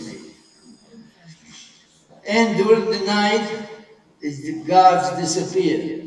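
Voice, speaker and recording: Very slow speech from a man comes through noticeable background noise. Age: 80s+. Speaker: Holocaust survivor. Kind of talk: talk to an audience.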